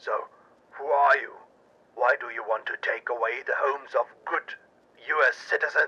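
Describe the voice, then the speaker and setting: Using a put-on character voice, a man speaks at an extremely high pitch. He keeps a moderate pace, broken by long, frequent pauses. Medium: audio drama. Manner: gruff, defiant.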